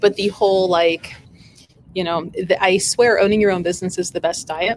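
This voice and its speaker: A woman speaks at medium pitch for a woman. Her intonation stays fairly even, and her pace is moderate. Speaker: shop owner and livestream host. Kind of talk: casual livestream chat. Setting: live video stream in store. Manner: rambling, halting with fillers.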